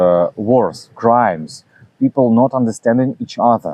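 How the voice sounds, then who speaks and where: A man's medium-pitched voice, dark and mellow in tone, sounds dry and close with no echo. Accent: Russian. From Russia, Saint Petersburg. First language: Russian. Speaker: philosophy channel host. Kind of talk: reading aloud a self-translated talk. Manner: halting, many fillers.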